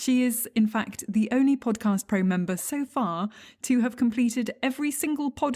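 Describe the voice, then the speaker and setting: A woman with an English accent speaks in a dark, mellow, somewhat breathy tone, with ordinary pitch variation and very even loudness. The recording is very clean, with a silent background. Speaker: podcast host teaching legal English. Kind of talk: podcast interview.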